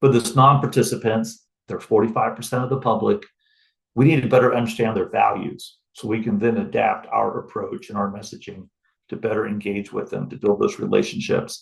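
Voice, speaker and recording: A man talks at a fairly quick pace. His loudness swings widely. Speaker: wildlife agency researcher presenting findings. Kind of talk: webinar presentation. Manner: fast.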